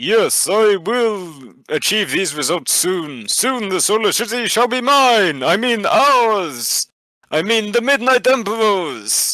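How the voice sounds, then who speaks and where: In a put-on character voice with a theatrical tone, a man speaks fairly slowly at a high pitch, on a very clean recording with a silent background. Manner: terrible, theatrical impression.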